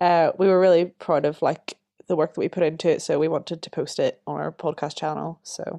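With a Northern Irish accent, a woman talks at a moderate pace in a dry, close sound with no echo and a quiet background. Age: 20s. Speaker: podcast co-host, drama student. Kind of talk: casual chat.

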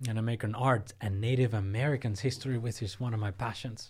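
A somewhat breathy man with a Spanish accent, at a fairly quick pace and with fairly even intonation, on a very clean recording with a silent background. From Cuba, Havana. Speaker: professor. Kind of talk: interview.

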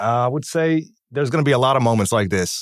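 A man with a plain, everyday voice talks at a moderate pace in an American accent, recorded very cleanly over a silent background. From US Midwest, Kansas City. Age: 30s. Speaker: chef and fitness coach, army veteran. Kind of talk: casual interview storytelling.

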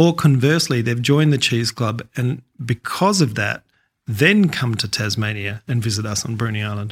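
A man's somewhat breathy voice at medium pitch, with an Australian accent, ordinary pitch variation, and a dry, close sound with no echo. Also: moderate pace, very clean recording, silent background. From Australia, Adelaide. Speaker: cheesemaker and place-branding board chair. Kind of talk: interview.

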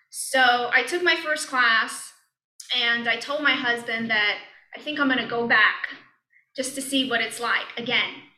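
A woman with an American accent speaks at a high pitch and a fairly slow pace. Her intonation is fairly even, and audible room echo is present. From Brooklyn, New York. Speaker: yoga and meditation teacher. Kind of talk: casual interview. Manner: halting, many fillers and restarts.

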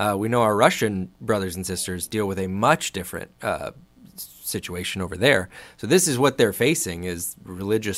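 A man speaks in a normal speaking voice at a fairly low pitch. The recording is very clean, with a silent background. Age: 30s. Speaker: church staff podcast host. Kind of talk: casual chat. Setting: studio.

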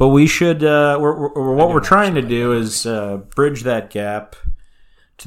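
A man in an ordinary speaking voice at a fairly slow pace. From California. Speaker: podcast co-host.

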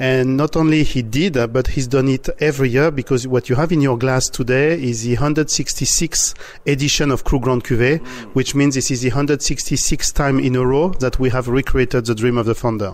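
At a moderate pace, a plain, everyday voice keeps fairly even intonation and very even loudness. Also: man, medium pitch for a man. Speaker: champagne house leader. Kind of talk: interview.

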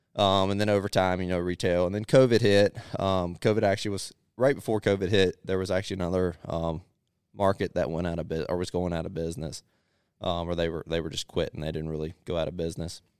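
With an American accent, a man talks very fast with fairly even intonation. The recording is very clean, with a silent background. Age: 20s. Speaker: produce farmer and market owner. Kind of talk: casual interview.

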